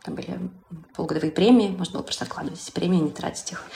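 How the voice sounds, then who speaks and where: A woman speaks with vocal fry. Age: 30s. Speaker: singer-songwriter, former marketer. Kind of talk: interview.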